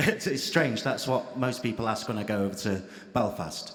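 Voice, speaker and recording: With an English accent, a man talks at a moderate pace. Audible room echo surrounds his voice. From England, Irish family. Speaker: audience member asking a question. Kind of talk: audience question at panel debate.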